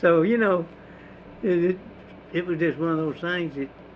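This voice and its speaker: A man talks at a moderate pace. His pitch is high and his intonation fairly even. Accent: East Texas. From East Texas, Houston County. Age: 90s. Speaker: war veteran and farmer. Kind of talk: oral history interview. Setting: at his home.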